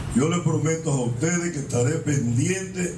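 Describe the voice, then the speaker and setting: A man speaks with light background noise and audible room echo. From Dominican Republic. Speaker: police chief. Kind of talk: public speech. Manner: formal. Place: street.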